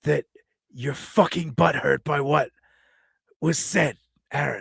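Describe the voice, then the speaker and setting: A put-on character voice, raspy and menacing in tone, moves at a fairly slow pace. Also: man. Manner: menacing, confrontational, pointed.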